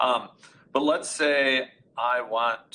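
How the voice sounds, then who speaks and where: A man speaks loudly. His tone is bright and sharp. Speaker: audio conferencing expert. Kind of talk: technical webinar demonstration.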